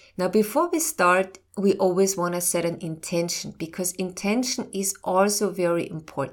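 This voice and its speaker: An unremarkable speaking voice from a woman at a medium pitch, with hardly any pauses. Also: ordinary pitch variation. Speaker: medical intuitive and doctor podcast host. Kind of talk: educational talk with guided meditation segment. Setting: studio podcast. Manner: slow, calm, soothing guided-meditation pacing; informative, warm.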